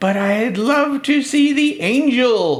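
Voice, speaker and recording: This put-on character voice has a fairly high pitch and moves at a very slow pace. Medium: read story. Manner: eager.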